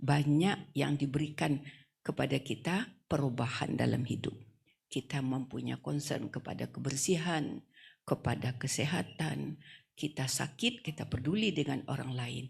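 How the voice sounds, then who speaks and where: A woman's very deep, low voice with vocal fry, ordinary pitch variation and a fairly slow pace. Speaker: female Islamic preacher. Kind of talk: wedding sermon. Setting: wedding reception.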